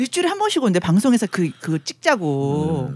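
A woman's very fast speech with very wide pitch swings, over noticeable background noise. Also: dry, close sound with no echo. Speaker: guest panelist. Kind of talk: casual chat.

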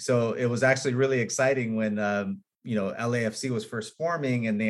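Talking at a very fast pace with a Californian accent, a man keeps a medium pitch and fairly even intonation. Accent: Californian American English. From Los Angeles, Hollywood. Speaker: film and commercial director. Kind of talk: interview.

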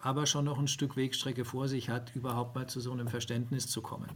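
Somewhat breathy and medium in pitch, a man speaks with monotone, flat intonation. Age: 50s. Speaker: HR tech founder. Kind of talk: interview. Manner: halting.

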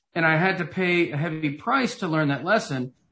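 Over a quiet background, a man talks with a Tennessee accent. His voice is fairly high-pitched, with a bright, sharp tone. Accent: Southern US (Tennessee). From US South, Knoxville, Tennessee. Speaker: author and motivational speaker. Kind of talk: interview.

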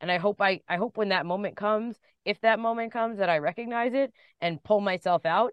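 A woman talks fairly quickly in a normal speaking voice at medium pitch with ordinary pitch variation. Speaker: pro wrestling commentator. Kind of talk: casual interview. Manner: chatty, rambling, self-deprecating.

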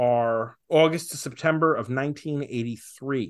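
This man has a normal speaking voice at medium pitch. He talks at a moderate pace with ordinary pitch variation. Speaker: podcast host. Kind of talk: casual chat.

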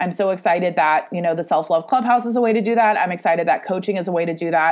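An American-accented woman speaks at a medium pitch with ordinary pitch variation, recorded very cleanly against a silent background. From California, San Francisco Bay Area. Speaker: podcast host and self-love coach. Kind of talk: solo podcast monologue. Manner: casual, laughing often.

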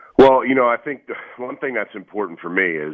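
A man speaking at a fairly quick pace. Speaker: former NFL player and football coach. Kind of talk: radio interview. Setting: phone call.

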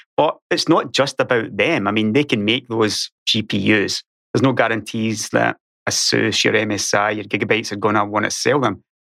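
A man with a Scottish accent, fairly low in pitch, at a moderate pace with ordinary pitch variation, his bright, sharp tone heard in a dry, close sound with no echo. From Scotland. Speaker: YouTuber and podcaster.

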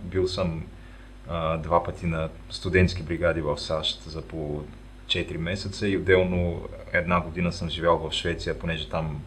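A man's very deep, low voice at a moderate pace. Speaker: podcast host. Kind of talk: casual interview. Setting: remote recording.

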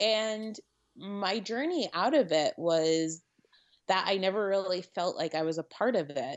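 A woman with an American accent has an unremarkable speaking voice and lively intonation. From Connecticut. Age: 30s. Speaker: wedding photographer. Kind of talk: casual chat.

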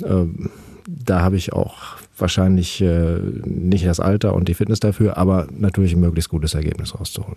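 At a moderate pace, a man speaks with a very deep, low pitch, a dark, mellow tone and fairly even intonation. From Germany, Paderborn (Westphalia). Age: 40s. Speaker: ultrarunner. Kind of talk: interview. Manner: hesitant, many filler sounds.

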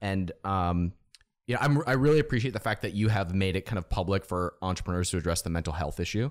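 Very deep and low in pitch, a man with an American accent talks at a very fast pace with lively intonation on a very clean recording with a silent background. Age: 30s. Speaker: podcast host and entrepreneur. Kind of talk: interview conversation.

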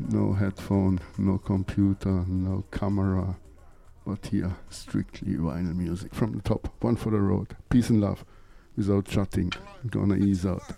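Speaking at a fairly slow pace with a German accent, a man has a very deep, low pitch and a relaxed, dark, mellow tone. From Lake Constance, Germany. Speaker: reggae radio DJ. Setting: studio radio show, mic in hand. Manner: relaxed, friendly.

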